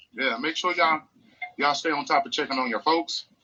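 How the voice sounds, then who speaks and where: Fairly high male voice at a very fast pace, with music in the background. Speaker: podcast host. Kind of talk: casual chat.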